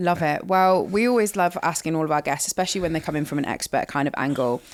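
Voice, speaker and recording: Very clean and silent in the background, this recording has a woman speaking at a very fast pace. Her pitch is fairly low, with ordinary variation. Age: 20s. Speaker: podcast host. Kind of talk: podcast interview. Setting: studio.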